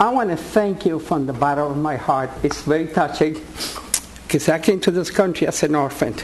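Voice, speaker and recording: Noticeable background noise sits under a moderate-paced voice with ordinary pitch variation in a Puerto Rican accent. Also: man, fairly high pitch for a man. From Puerto Rico. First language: Spanish. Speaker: war veteran. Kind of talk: public comment. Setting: board meeting.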